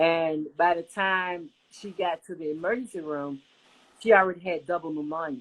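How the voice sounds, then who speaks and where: A woman with a plain, everyday voice speaks at a moderate pace in a fairly low pitch. Her pitch variation is ordinary, while her loudness swings widely. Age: 60s. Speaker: covid survivor sharing her story. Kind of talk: interview testimony.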